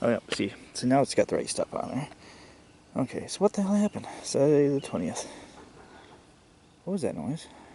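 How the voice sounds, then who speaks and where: Noticeable background noise sits behind a man speaking at a medium pitch. He keeps a moderate pace. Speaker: hiking vlogger. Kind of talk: casual vlog narration while walking. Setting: outdoors on a trail.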